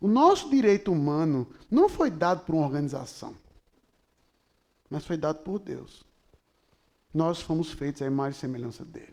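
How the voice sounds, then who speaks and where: With an animated tone and lively intonation, a man talks at a moderate pace in a fairly high pitch, leaving long, frequent pauses as his loudness swings widely. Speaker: pastor. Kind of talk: sermon.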